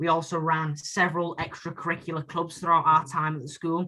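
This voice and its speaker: A man's fairly high-pitched voice with a bright, sharp tone. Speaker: student union candidate. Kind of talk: debate. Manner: loud.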